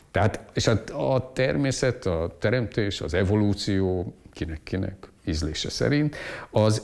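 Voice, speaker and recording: Against a quiet background, a man talks at a fairly low pitch with ordinary pitch variation. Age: 60s. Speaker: economist and lecturer; interviewee, teacher. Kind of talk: interview monologue; interview answer. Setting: at home. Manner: halting, repetitive. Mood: calm, reflective. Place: home room. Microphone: lapel.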